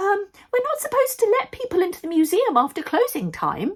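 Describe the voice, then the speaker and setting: Putting on a squeaky, anxious character voice, a woman talks at a fairly quick pace with an extremely high pitch and very wide pitch swings. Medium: read story. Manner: anxious, hesitant.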